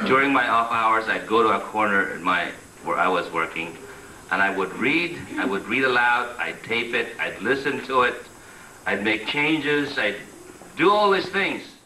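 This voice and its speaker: Noticeable background noise and audible room echo surround a man speaking at a moderate pace. His medium-pitched voice swings very widely in pitch. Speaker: immigrant interviewee. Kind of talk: documentary interview.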